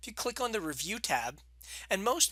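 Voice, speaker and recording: Recorded very cleanly against a silent background, a man speaks with a bright, sharp tone. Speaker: college instructor. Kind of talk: tutorial. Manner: slow, step-by-step.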